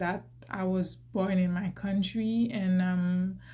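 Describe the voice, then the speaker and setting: A woman with a medium pitch speaks at a very slow pace in a somewhat breathy voice with fairly even intonation, and the room echo is audible. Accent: Haitian. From Haiti. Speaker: YouTuber. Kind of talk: personal vlog talk. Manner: hesitant, many fillers and restarts.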